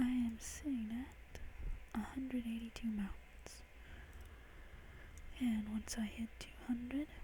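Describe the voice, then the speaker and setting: Whispering and soft-spoken, a man talks at a very slow pace with long, frequent pauses against noticeable background noise. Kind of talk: ASMR soft speaking to camera about a game. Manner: soft-spoken, whispery.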